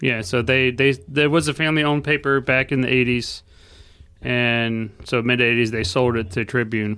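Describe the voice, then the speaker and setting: With an American accent, a man speaks at a moderate pace in a bright, sharp tone, with a medium pitch and ordinary pitch variation. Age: 40s. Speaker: photojournalist. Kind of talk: casual chat.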